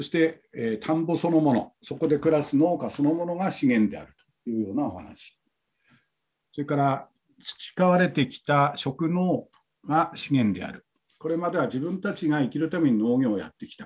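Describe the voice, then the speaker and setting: A man talks at a moderate pace against a quiet background, his loudness swinging widely. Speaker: tourism company staff, session coordinator; breakout session reporter. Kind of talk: conference session report. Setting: video call. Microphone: video call.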